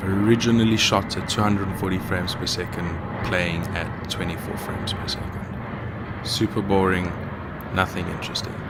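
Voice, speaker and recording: Over noticeable background noise and audible room echo, a man with a South African accent speaks in a very deep, low, monotone voice at a moderate pace. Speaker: video editor and YouTuber. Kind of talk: casual narration.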